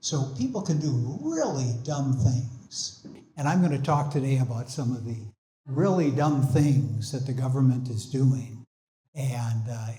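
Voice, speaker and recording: In a room with audible echo, a man with an American accent speaks fairly slowly at a medium pitch, with a dark, mellow, somewhat breathy tone and ordinary pitch variation. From Minnesota. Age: 70s. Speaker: invited speaker on energy and climate. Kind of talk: public talk. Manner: halting, many fillers.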